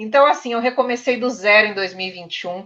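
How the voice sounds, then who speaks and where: A woman with an ordinary speaking voice and ordinary pitch variation. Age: 30s. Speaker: journalism student. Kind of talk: panel discussion.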